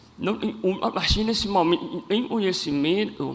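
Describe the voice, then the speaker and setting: Here a man is speaking. His intonation is lively. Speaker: cleft palate advocate. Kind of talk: public speech.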